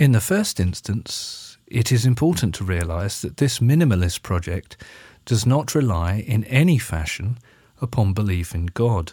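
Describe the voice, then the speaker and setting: At a moderate pace, a man with medium pitch and a dark, mellow tone speaks somewhat breathily with lively intonation, on a very clean recording with a silent background. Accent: English. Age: 50s. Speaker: minister and podcast host. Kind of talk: spoken essay. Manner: formal.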